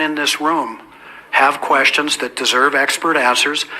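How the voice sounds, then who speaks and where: Noticeable background noise sits behind a man's voice. He speaks fairly high at a moderate pace, with fairly even intonation. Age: 60s. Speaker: event moderator. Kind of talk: public speech introducing a panel. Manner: hesitant, repeating words.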